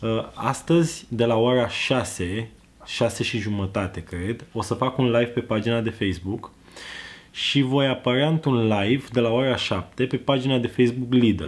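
Here a man talks at a medium pitch with ordinary pitch variation.

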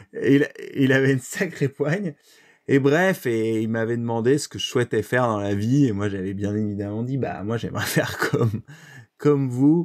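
On a very clean recording with a silent background, a man speaks at a moderate pace in a medium-pitched voice with ordinary pitch variation. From France, Brittany (Lorient). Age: 30s. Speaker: eco-adventurer. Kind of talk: interview. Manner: hesitant with many fillers.

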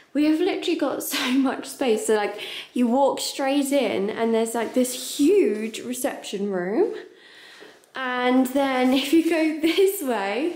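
With some room echo, a woman speaks at a fairly slow pace and a high pitch with lively intonation. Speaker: travel vlogger. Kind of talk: casual vlog chat. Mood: excited, laughing. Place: home room. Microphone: phone near.

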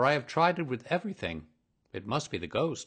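The pitch swings very widely, with vocal fry throughout. The pace is fairly quick over a quiet background. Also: man. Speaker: voice actor. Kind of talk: audiobook reading.

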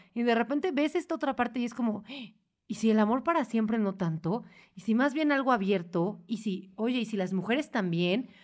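A woman with an ordinary speaking voice and a fairly high pitch talks at a moderate pace with lively intonation, in a very clean recording with a silent background. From Mexico, Puebla. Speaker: podcast host. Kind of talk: casual chat.

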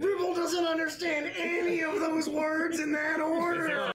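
Shouting at an extremely high pitch, monotone and flat in intonation, at a moderate pace

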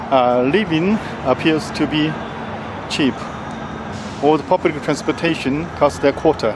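Music plays in the background of a dry recording with no echo, where the speech moves at a moderate pace with long, frequent pauses. Loudness stays very even, and pitch varies in an ordinary way. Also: man. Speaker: travel vlogger. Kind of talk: casual vlog chat. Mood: relaxed, smiling. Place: street. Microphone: phone near.

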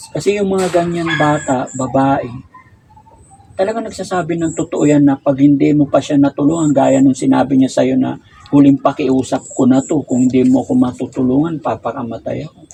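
With noticeable background noise behind him, a man talks at a fairly quick pace, his fairly high pitch showing ordinary variation. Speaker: online advice show host. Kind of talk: interview.

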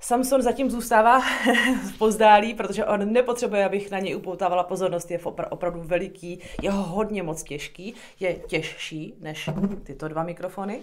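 Against a quiet background, this woman keeps a moderate pace and her pitch varies in an ordinary way. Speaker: product reviewer. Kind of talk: tutorial. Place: home room. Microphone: phone near.

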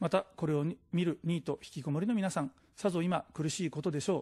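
A man's high-pitched voice with a dark, mellow tone, ordinary pitch variation and a fairly quick pace, over a quiet background. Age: 40s. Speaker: political candidate; candidate. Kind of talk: political campaign speech. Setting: studio. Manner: formal. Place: studio. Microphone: podium.

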